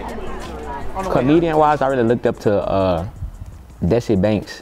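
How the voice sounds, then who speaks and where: Over crowd noise, a man with a relaxed tone speaks at a moderate pace and medium pitch, his pitch swinging very widely. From Baton Rouge, Louisiana. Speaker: comedian. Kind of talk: interview answer. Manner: casual, relaxed. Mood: relaxed, reflective.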